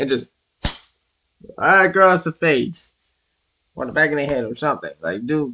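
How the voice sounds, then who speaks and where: An animated man with a New York accent and very wide pitch swings against a quiet background. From New York City. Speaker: streamer. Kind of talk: casual live-stream commentary.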